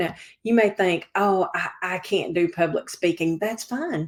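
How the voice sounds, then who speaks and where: On a very clean recording with a silent background, a woman with a Southern US accent talks at medium pitch and a moderate pace. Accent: Southern American. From Georgia, US South. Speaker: civic organizer and real estate broker. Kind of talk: interview.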